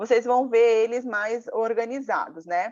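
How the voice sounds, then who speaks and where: A woman speaks at a fairly slow pace. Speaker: lawyer and public procurement lecturer. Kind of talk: live online lecture. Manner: halting, many fillers.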